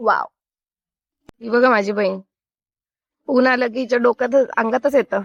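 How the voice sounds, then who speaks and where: A woman's high-pitched voice with fairly even intonation, recorded dry and close with no echo. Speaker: family vlogger. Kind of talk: casual vlog narration. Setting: outdoors on a beach.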